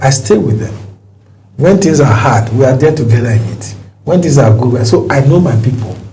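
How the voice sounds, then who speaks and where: A man talks at a fairly quick pace and medium pitch, with ordinary pitch variation. Audible room echo and noticeable background noise surround him. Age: 60s. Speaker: politician. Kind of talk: interview. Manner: animated.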